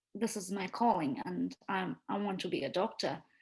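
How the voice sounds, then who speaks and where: The voice has vocal fry and ordinary pitch variation, with an Indian accent. The background is quiet. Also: woman. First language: Marathi. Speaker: medical doctor. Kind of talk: interview.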